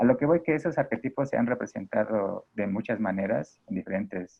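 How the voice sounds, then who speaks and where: A man at a medium pitch, talking fairly quickly, with ordinary pitch variation. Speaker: character design teacher. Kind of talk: workshop lecture. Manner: fast.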